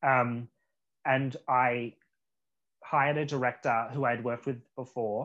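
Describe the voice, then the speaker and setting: Long, frequent pauses break up a man's fairly slow speech, delivered with an Australian accent and monotone, flat intonation. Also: medium pitch for a man. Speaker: actor. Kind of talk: casual chat.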